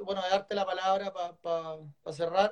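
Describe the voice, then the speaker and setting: A man speaks in a high voice with a Chilean accent. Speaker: author and editor interviewer. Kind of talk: live online book launch interview. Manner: halting, many repetitions.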